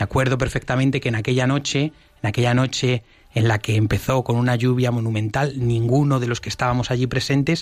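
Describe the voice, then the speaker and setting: A man speaks quite quickly at a medium pitch in a monotone, flat intonation. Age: 20s. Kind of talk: radio interview.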